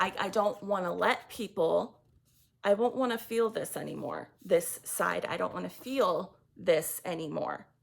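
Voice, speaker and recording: A woman's voice sounds shaky. She speaks at a fairly slow pace. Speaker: tarot reader. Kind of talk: tarot reading monologue. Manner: halting; shaky voice.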